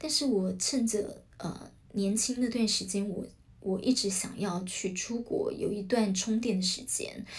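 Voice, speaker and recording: Fairly slow speech with ordinary pitch variation and audible echo in the room. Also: woman, fairly high pitch for a woman. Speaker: podcast host, former news channel worker. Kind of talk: solo podcast talk. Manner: many filler sounds, hesitant.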